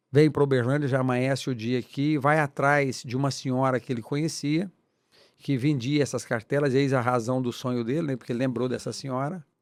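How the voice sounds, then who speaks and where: This man has an unremarkable speaking voice at a medium pitch. He talks fairly quickly with fairly even intonation. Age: 60s. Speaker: businessman. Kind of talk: interview.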